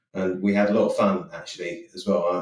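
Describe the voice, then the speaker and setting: A man speaks in a southern English accent. His pitch is fairly low. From southern England (Eastbourne, Sussex). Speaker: insurance claims executive. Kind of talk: interview. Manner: frequent repetitions and self-restarts.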